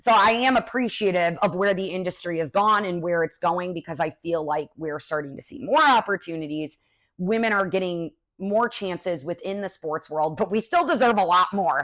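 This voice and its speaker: On a very clean recording with a silent background, a woman with an American accent and an unremarkable speaking voice talks at a medium pitch with lively intonation. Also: moderate pace. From Chicago, US Midwest. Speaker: sports broadcaster. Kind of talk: casual Q&A podcast. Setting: at home on couch.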